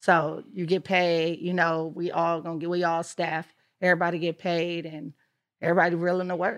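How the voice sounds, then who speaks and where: Fairly quick, monotone, flat delivery from a woman with a fairly low pitch, against a quiet background. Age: young. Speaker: PR company founder. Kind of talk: casual interview chat.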